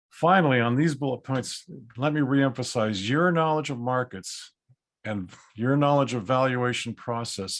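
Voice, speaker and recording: At a moderate pace, a man with an unremarkable speaking voice talks at medium pitch with ordinary pitch variation. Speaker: appraisal educator. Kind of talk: webinar lecture. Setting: video call.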